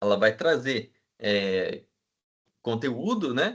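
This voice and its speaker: Here a man uses an unremarkable speaking voice at medium pitch with ordinary pitch variation. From Brazil, interior of São Paulo state. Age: 20s. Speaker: teacher. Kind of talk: lecture. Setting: video call. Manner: casual, conversational.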